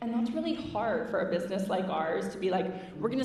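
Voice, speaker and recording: A woman's medium-pitched voice with ordinary pitch variation, amid audible room echo and noticeable background noise. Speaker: marketing executive. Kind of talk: conference Q&A. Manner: casual, animated.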